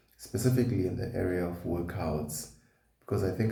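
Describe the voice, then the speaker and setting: This man has a very deep, low pitch and talks at a moderate pace. There is audible room echo. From South Africa, KwaZulu-Natal. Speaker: vlogger. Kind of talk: personal vlog.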